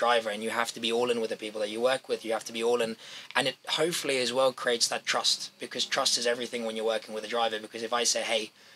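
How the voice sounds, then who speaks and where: Speech comes at a very fast pace in a flat monotone with hardly any pauses. Noticeable background noise runs underneath. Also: man. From South Africa, moved to England at twelve. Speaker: racing driver coach, former driver. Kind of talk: interview. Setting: race paddock.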